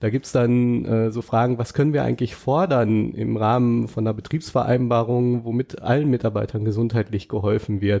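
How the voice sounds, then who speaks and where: Against a quiet background, a man speaks in a dark, mellow tone at a moderate pace. His intonation is fairly even and he hardly pauses. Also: medium pitch for a man. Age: 40s. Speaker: bank employee representative. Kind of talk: interview. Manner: hesitant, many filler sounds.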